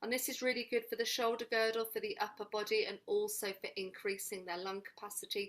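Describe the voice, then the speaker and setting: A woman talks in a normal speaking voice with a fairly high pitch. Her intonation stays fairly even, with hardly any pauses. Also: fairly quick pace. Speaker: early years movement trainer. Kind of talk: webinar presentation.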